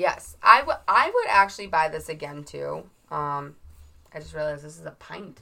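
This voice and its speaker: Loudness swings widely at a moderate pace over noticeable background noise. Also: woman. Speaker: true crime podcast co-host. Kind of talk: casual chat over drinks. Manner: giggly, playful.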